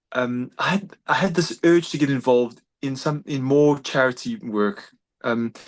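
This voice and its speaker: Against a quiet background, a man with a South African accent speaks with ordinary pitch variation. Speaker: doctor and humanitarian volunteer. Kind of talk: interview conversation. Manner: fast; halting, many repetitions.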